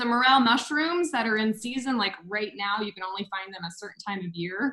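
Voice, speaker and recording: In a normal speaking voice with an American accent, the speech has lively intonation and big swings in loudness. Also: woman, fairly high pitch for a woman, fairly quick pace. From United States. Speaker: freelancer. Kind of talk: casual chat. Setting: video call.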